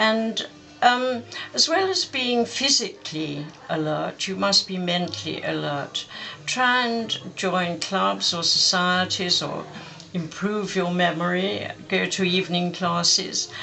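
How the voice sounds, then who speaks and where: Over noticeable background noise, a woman with an English accent speaks at a very slow pace. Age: 90s. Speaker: war veteran. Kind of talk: interview testimony.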